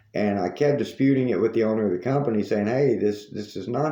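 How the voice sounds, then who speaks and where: Room echo is audible as a man with a Southern US accent speaks in a dark, mellow tone with ordinary pitch variation. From US South. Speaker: news commentary host. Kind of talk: monologue commentary.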